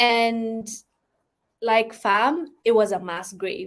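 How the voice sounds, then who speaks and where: A woman speaks with a non-native accent. Her pitch is fairly high. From Ethiopia. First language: not English. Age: 20s. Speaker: live streamer. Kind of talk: casual live stream chat. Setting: live stream, raining outside. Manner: casual, hesitant with fillers.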